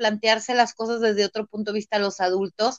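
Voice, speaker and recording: A woman is speaking. Her pitch is fairly high. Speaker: lawyer and personal growth coach. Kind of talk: interview. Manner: halting, many repeated words.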